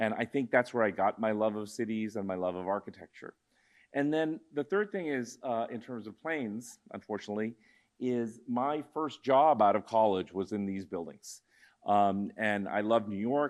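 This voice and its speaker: Against a quiet background, a man with a normal speaking voice talks at a moderate pace and a fairly low pitch with ordinary pitch variation. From Tucson, Arizona (US Southwest), born in India. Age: 60s. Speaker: architect and urban planner. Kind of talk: lecture. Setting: auditorium with audience. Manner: casual, with many fillers.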